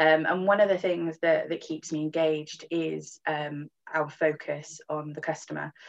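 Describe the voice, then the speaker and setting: A woman's very deep, low voice at a fairly slow pace, with hardly any pauses. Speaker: managing director of a transport information organisation. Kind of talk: interview. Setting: podcast recording. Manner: chatty; animated.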